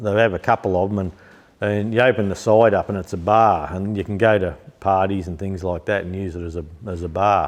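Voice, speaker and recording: In an Australian accent, a man with a fairly low pitch speaks at a fairly quick pace, his tone relaxed and his intonation fairly even. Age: 60s. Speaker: tractor restorer and parts seller. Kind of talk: casual chat. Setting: workshop shed. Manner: relaxed, hesitant with many ums.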